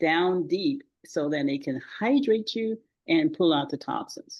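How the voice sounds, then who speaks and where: Using ordinary pitch variation, a woman speaks at a fairly slow pace. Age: 70s. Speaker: retired pharmacist, natural health advocate. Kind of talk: podcast interview. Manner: hesitant, many fillers.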